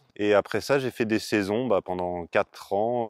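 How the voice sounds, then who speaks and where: On a very clean recording with a silent background, a man speaks at a moderate pace with ordinary pitch variation in a dry, close sound with no echo. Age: 30s. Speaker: organic market gardener. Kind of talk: interview. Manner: hesitant, many fillers.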